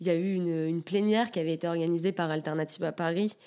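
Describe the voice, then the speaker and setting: With a dark, mellow tone and a fairly low pitch, a woman speaks at a fairly quick pace and fairly even intonation on a very clean recording with a silent background. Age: 20s. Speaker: environmental activist. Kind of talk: casual interview. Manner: hesitant, many filler sounds.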